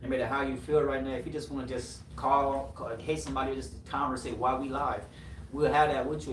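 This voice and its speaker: Speaking with a Haitian accent is a man. Noticeable background noise and audible room echo surround him. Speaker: podcast host. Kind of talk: casual chat. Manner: animated.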